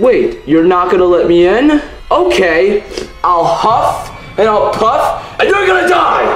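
A man's put-on character voice, high-pitched and fairly bright, with big pitch swings at a fairly slow pace, amid faint background music and audible room echo

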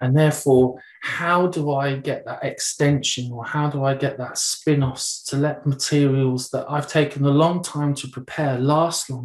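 A man with a British accent speaks at a fairly slow pace in a fairly high pitch and monotone, flat intonation, with audible room echo against a quiet background. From UK. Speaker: English language teacher and trainer; ESOL teacher trainer. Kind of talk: webinar presentation. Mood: relaxed, conversational. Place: home room. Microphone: webcam.

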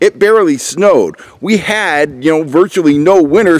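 Lively intonation marks a man's speech. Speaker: fishing channel host. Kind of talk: casual vlog chat. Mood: wry, opinionated. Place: forest. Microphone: phone near.

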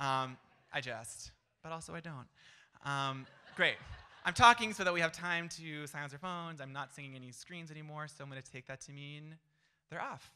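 Moderate pace with an American accent, ordinary pitch variation, long and frequent pauses, big swings in loudness, and a quiet background. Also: man. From Florida. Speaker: storytelling event MC and facilitator. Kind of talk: event emceeing. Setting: stage with audience. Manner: animated. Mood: light, joking. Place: stage. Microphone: handheld.

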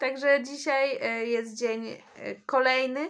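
A woman speaks with ordinary pitch variation. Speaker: vlogger. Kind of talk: casual vlog chat. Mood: wry, slightly complaining. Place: home room. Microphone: phone near.

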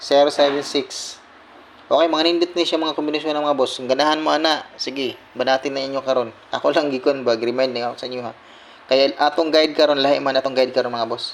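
With a plain, everyday voice, a man talks at a fairly high pitch. His pace is fairly quick and his intonation fairly even. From Visayas, Philippines. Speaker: lotto tips vlogger. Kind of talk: casual vlog monologue.

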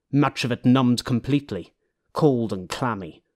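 A man's medium-pitched voice in a dramatic tone, with ordinary pitch variation, on a very clean recording with a silent background. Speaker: audiobook narrator. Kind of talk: audiobook narration of own novel. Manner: dramatic, atmospheric, vividly descriptive narration; self-deprecating, casual in intro.

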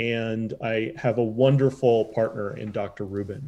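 A man with an American accent speaks at a very slow pace in a dark, mellow tone, with medium pitch and fairly even intonation. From Chicago south suburbs. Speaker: public health doctor. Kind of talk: interview. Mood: warm, grateful. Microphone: webcam.

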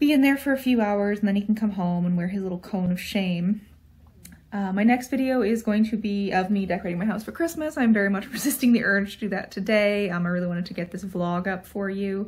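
A somewhat breathy woman talks at a very fast pace with ordinary pitch variation. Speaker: vlogger. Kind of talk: casual vlog chat. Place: home room. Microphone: phone near.

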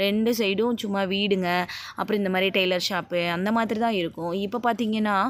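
A woman speaks at a medium pitch with monotone, flat intonation. Her loudness stays very even. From Tamil Nadu, Pollachi area (Kongu region). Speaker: vlogger. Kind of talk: travel vlog narration. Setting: on a bus and walking outdoors. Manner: casual, conversational.

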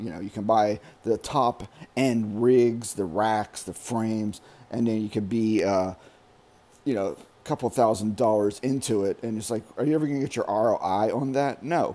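Here a man speaks at a moderate pace with a dark, mellow tone. His pitch variation is ordinary. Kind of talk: casual vlog chat. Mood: ranting about overspending. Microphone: phone near.

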